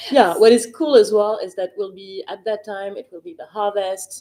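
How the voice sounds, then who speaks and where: A woman with a French accent speaks at a moderate pace in a dark, mellow tone. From France. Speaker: wine expert. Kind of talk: live Q&A interview. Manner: hesitant, many fillers.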